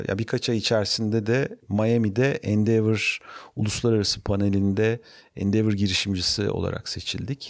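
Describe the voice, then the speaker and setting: On a very clean recording with a silent background, a man speaks at a moderate pace with a fairly low pitch and monotone, flat intonation. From Turkey, Ankara. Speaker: startup founder and CEO. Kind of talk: interview.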